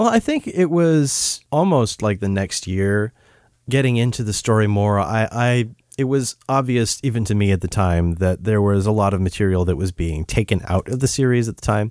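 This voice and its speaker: A man's normal speaking voice, fairly low in pitch with lively intonation and a moderate pace, in a very clean recording with a silent background and a dry, close sound with no echo. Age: 30s. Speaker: fan site translator. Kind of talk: casual interview. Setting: in person with host.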